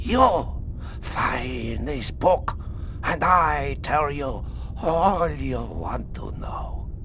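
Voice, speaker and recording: A very slow, put-on character voice from a man, over clear background noise. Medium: machinima. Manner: broken English, clipped, wary.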